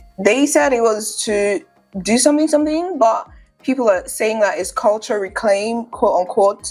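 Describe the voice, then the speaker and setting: A woman talks at a moderate pace with lively intonation while music plays in the background. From Nigeria. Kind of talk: casual talk to camera.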